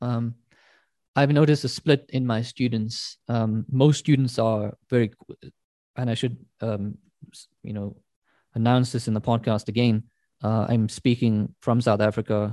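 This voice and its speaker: A man's dark, mellow tone at a medium pitch, with fairly even intonation, big swings in loudness and long, frequent pauses, in a dry, close sound with no echo and a quiet background. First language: not English. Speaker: university academic. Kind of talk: casual chat. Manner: halting, many fillers.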